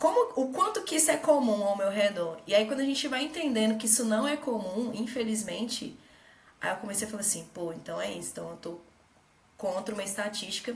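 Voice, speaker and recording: A woman talks at a fairly quick pace with lively intonation and fairly high pitch. Noticeable background noise and audible room echo fill the recording. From Brazil, Minas Gerais. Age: 20s. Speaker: tech manager and investor. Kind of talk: casual interview.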